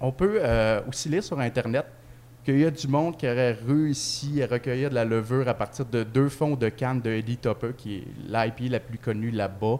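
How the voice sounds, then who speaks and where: A man of medium pitch with a Quebec accent. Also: ordinary pitch variation, moderate pace. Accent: Québécois French. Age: 20s. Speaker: beer podcast co-host. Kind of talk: casual chat. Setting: microbrewery pub.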